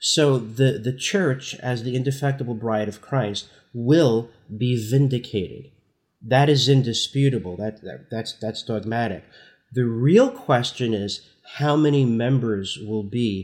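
A man in an American accent talks at a fairly slow pace with an ordinary speaking voice and ordinary pitch variation. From New Jersey, Newark. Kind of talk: interview.

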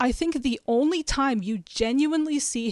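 Against a quiet background, with a dry, close sound and no echo, a plain, everyday voice moves at a moderate pace with ordinary pitch variation. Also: woman. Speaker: podcast guest, film fan. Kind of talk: casual chat.

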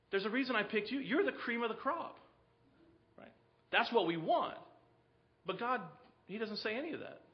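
Through noticeable background noise comes a man's high-pitched voice with lively intonation. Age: 40s. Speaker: preacher. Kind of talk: sermon. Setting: church.

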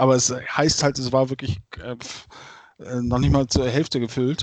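Medium in pitch, this man speaks with monotone, flat intonation. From Germany, Bergisch Gladbach near Cologne. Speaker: football fan. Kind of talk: casual chat.

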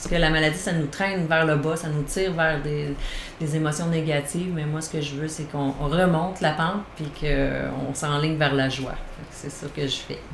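A woman with a very deep, low pitch speaks at a moderate pace in a monotone, flat intonation, with audible room echo and noticeable background noise. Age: 40s. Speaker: naturotherapist and caregiver support worker. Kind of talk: interview.

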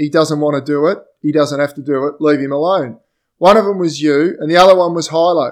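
At a fairly quick pace, a man with an Australian accent speaks at a fairly high pitch with fairly even intonation. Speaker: podcast host. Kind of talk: casual chat. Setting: video call.

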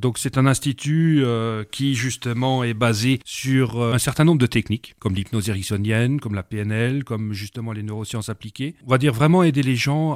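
A man speaks at a moderate pace in a medium pitch with ordinary pitch variation, captured in a very clean recording with a silent background and a dry, close sound with no echo. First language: not French (speaking French). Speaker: language school director and hypnotherapist. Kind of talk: radio interview.

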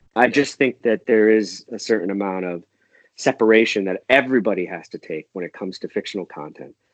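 A man with a plain, everyday voice talks at a fairly quick pace and fairly low pitch, with ordinary pitch variation and a dry, close sound with no echo. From US Northeast, northern Connecticut. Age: 40s. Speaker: podcast guest, fan commentator. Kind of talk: casual chat.

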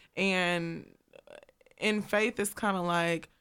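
In a very clean recording with a silent background, a woman uses an unremarkable speaking voice at a medium pitch with ordinary pitch variation. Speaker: recent graduate, performer. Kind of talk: casual chat. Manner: laughs often.

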